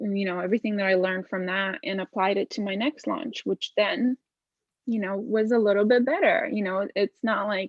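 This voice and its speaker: Her voice sits at a medium pitch for a woman, with ordinary pitch variation and a Lithuanian accent. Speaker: visual artist. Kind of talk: interview.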